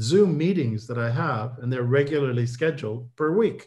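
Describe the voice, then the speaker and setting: With ordinary pitch variation and a somewhat breathy sound, a man speaks at a moderate pace. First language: not English. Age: old. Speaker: professor. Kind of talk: webinar Q&A. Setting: video call.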